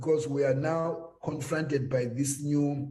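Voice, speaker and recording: A dark, mellow, somewhat breathy tone with fairly even intonation and audible room echo. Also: man. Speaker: government health official. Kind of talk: panel discussion.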